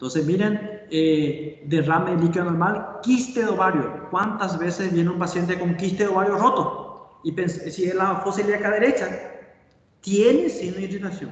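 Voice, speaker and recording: A high-pitched man speaks at a moderate pace, with audible room echo and noticeable background noise. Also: ordinary pitch variation. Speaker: surgeon and medical lecturer. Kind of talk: lecture. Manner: halting.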